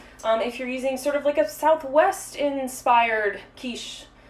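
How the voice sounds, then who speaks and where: High-pitched woman's speech with ordinary pitch variation. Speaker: baker hosting a cooking stream. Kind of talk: live cooking tutorial. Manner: fast; casual with many fillers.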